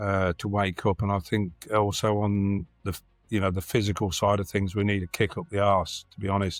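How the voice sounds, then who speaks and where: In a Lincolnshire accent, the voice moves at a moderate pace with monotone, flat intonation, recorded dry and close with no echo on a very clean, silent background. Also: man. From England, Lincolnshire. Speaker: community organisation member. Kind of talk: podcast interview. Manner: halting, many fillers.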